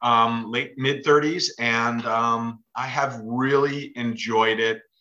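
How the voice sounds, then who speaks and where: A man speaks with an American accent at a medium pitch. His tone is bright and sharp. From New York, Westchester County. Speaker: author and funeral director. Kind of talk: casual interview chat.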